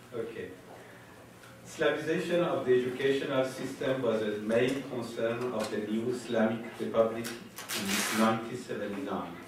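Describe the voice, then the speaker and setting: Moderate-speed male speech in an echoing room, clearly audible noise behind it. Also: medium pitch for a man, ordinary pitch variation. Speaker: professor. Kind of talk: conference talk. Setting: conference panel with audience. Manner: reading prepared text, formal.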